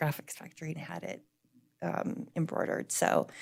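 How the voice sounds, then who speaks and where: The voice is loud, and the recording is very clean with a silent background. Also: woman. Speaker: library director. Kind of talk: public meeting report. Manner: hesitant, many fillers.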